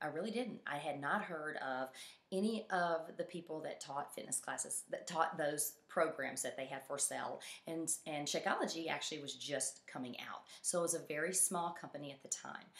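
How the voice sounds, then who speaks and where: Moderate pace and ordinary pitch variation from a woman with a fairly low pitch. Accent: Southern US. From Mississippi, US South. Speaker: fitness coach. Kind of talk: personal story presentation. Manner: halting, many fillers.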